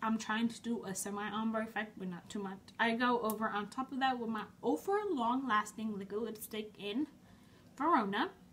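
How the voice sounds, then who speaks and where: Noticeable background noise sits behind a woman's voice. Her pitch is fairly high, with ordinary pitch variation. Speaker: beauty vlogger. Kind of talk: tutorial. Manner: fast; casual, chatty.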